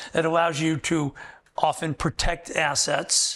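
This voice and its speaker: A man with a fairly high voice speaks at a fairly slow pace. His intonation stays fairly even against a quiet background. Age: 60s. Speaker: wealth management advisor. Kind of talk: interview. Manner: halting.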